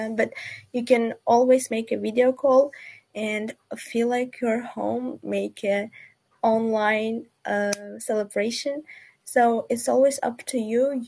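Speaking very slowly with a non-native accent, a woman has a dark, mellow tone and a fairly high pitch, with light background noise. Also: fairly even intonation. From Uzbekistan, Tashkent; Uzbekistan. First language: not English. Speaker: student ambassador. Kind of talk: webinar panel discussion. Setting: video call from Uzbekistan. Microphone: video call.

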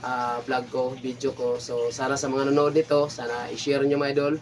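A man speaks in a monotone, flat intonation while noticeable background noise continues. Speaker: fisherman vlogger. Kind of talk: casual vlog talk to camera. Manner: hesitant, many fillers.

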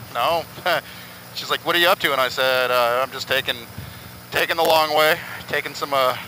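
Over light background noise, a man speaks at a fairly quick pace with a dry sound and no echo. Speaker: motorcycle vlogger. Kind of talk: casual vlog chat. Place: motorbike. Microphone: helmet.

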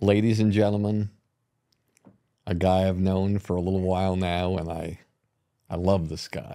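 The voice has a dark, mellow tone and a flat, monotone delivery at a moderate pace. Long, frequent pauses break up the speech against a quiet background. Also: man, very deep, low pitch for a man. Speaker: podcast host, producer. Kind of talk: interview questions. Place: studio. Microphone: studio mic.

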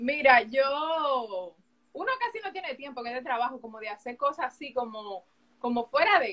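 Against a quiet background, a woman with a Dominican accent speaks in a high voice with big swings in loudness. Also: lively intonation, moderate pace. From Dominican Republic. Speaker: sports journalist. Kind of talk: live interview chat. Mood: relaxed, reflective. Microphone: video call.

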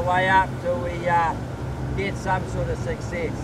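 Loud background noise runs behind the speaker. A man talks at a fairly slow pace. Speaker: tour guide. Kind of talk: tour guide commentary. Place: boat. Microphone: camera far.

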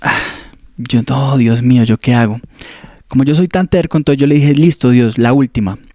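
A man speaks at a moderate pace with ordinary pitch variation and long, frequent pauses. The sound is dry with no echo, over a quiet background. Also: very even loudness. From Colombia, Ibagué. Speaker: seminarian. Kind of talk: testimony. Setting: studio. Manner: halting. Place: office. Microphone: handheld.

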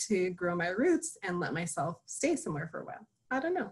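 The voice moves at a moderate pace and sounds somewhat breathy. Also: woman. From New Mexico. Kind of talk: interview. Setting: video call. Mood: warm, reflective. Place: home room. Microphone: video call.

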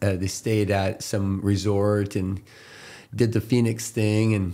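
A dark, mellow tone at a very slow pace, with monotone, flat intonation against a quiet background. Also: man, fairly low pitch for a man. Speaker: podcast guest. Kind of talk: interview answer. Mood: relaxed, friendly, laughing. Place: studio. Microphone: studio mic.

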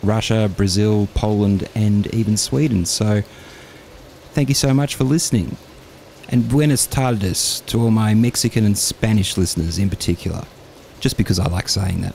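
With a normal speaking voice, a man talks at a moderate pace in a fairly low pitch with ordinary variation, the sound dry with no echo and light background noise. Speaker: podcast host. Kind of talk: casual podcast intro. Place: studio.

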